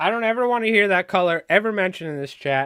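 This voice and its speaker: Over a silent background in a very clean recording, a man puts on a gruff character voice. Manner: cranky, scolding.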